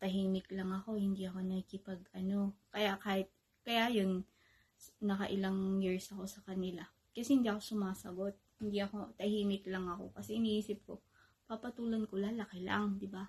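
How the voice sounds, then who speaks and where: A soft-spoken woman at a fairly quick pace in a monotone, flat intonation. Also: medium pitch for a woman. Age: 30s. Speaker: vlogger. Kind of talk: casual vlog monologue. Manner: louder than usual. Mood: calm, reflective personal story. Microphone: phone near.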